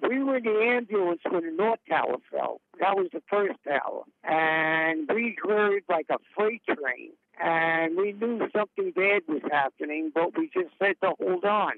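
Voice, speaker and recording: In a New York accent, a man with a high pitch talks at a fairly slow pace, his intonation lively, his loudness very even, and hardly any pauses between words. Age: 60s. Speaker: retired paramedic. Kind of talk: interview testimony.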